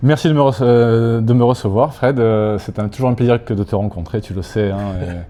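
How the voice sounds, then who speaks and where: Ordinary pitch variation over noticeable background noise. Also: man, medium pitch for a man, moderate pace. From Corsica, then Aix-en-Provence from childhood. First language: Corsican (speaking French). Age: 60s. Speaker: sports club president. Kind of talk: casual interview.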